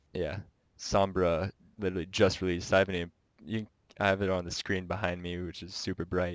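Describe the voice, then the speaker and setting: A man's very deep, low voice comes through dry and close with no echo, flat and monotone in intonation but with big swings in loudness. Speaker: podcast co-host. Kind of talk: casual chat. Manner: halting.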